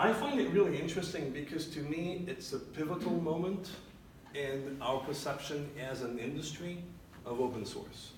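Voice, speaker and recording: Amid noticeable background noise and audible room echo, a man speaks at a moderate pace in a fairly high voice with ordinary pitch variation. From Switzerland, Geneva. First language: French. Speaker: open source consultant. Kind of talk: tech meetup talk.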